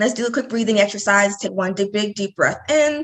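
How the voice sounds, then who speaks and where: A woman's medium-pitched voice, a normal speaking voice with ordinary pitch variation. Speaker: mental health counselor. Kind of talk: interview.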